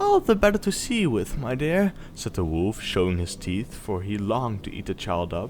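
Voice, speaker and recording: A soft-spoken man with a calm tone, at a moderate pace, over noticeable background noise. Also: hardly any pauses. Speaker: storyteller. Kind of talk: bedtime story reading. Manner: calm, soft-spoken.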